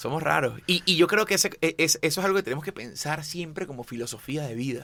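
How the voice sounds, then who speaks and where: A man speaks with a Venezuelan accent at a moderate pace, his tone animated and his intonation lively. The recording is very clean, with a silent background. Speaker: chef. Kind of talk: interview conversation. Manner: halting, repeats words.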